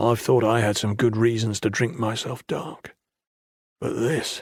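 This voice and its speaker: Putting on a character voice, a man speaks raspily at a medium pitch and a moderate pace with fairly even intonation. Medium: read story. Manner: wry.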